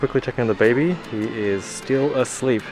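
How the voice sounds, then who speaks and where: A man talks with clear music in the background. The sound is dry with no echo. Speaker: family vlogger. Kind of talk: casual vlog chat. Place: shop. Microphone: phone near.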